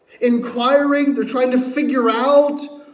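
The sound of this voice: A man speaks at an extremely high pitch with fairly even intonation. Strong echo fills the room.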